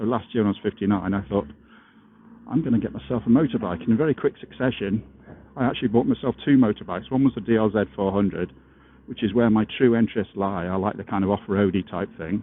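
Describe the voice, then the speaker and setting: Ordinary pitch variation comes at a very fast pace. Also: man, fairly low pitch for a man. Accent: English. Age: 60s. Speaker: motorcycle vlogger. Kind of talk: casual vlog monologue. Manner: halting, many fillers.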